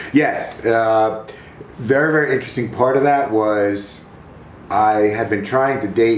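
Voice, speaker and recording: In a room with audible echo, a man with a fairly low pitch speaks at a moderate pace with ordinary pitch variation. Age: 60s. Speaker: retired teacher. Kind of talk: casual interview.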